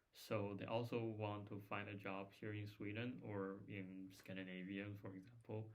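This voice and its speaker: With audible room echo, a man at fairly low pitch speaks in a flat monotone at a moderate pace with hardly any pauses. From China. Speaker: former master's student, software developer. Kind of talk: casual chat.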